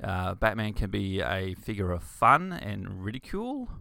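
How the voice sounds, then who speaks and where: This is a man's voice. He speaks with an Australian accent. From Queensland, Australia (rural, Bundaberg). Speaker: podcast host, comic writer and artist. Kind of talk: casual solo talk about comics. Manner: hesitant, many fillers and restarts.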